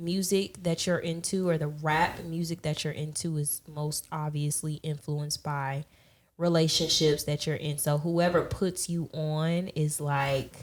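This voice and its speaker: In a very clean recording with a silent background, a woman speaks fairly slowly with a slight Southern US accent. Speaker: music podcast guest. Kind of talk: casual chat.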